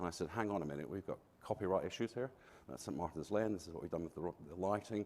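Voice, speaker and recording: Talking at a very fast pace, a man with a slight Glaswegian accent has a very deep, low pitch. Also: ordinary pitch variation. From Scotland, Glasgow. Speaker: architect. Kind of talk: conference talk.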